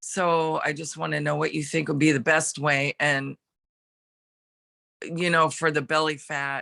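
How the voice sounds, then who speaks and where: Long pauses come often, keeping the delivery at a fairly slow pace. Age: 60s. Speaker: train worker asking questions. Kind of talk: q&a question.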